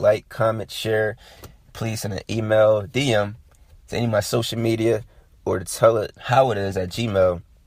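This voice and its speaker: The man's somewhat breathy voice is fairly low in pitch, with fairly even intonation. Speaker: sports podcast host. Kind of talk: casual monologue. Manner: halting.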